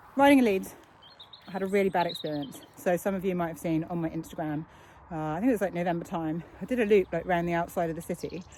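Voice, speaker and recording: Someone with a British accent speaks at a very fast pace. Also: woman. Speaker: cyclist vlogger. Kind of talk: casual talk to camera while riding.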